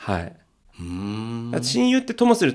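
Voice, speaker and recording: A man speaks at a moderate pace in a medium pitch, his voice swinging very widely in pitch, on a very clean recording with a silent background. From Tokyo. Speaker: podcaster. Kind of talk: casual chat.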